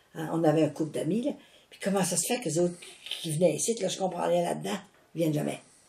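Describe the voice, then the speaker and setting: A woman with a fairly low pitch speaks at a very fast pace but leaves long, frequent pauses, over noticeable background noise. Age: 80s+. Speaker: religious mission founder. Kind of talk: casual chat. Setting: at home. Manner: animated.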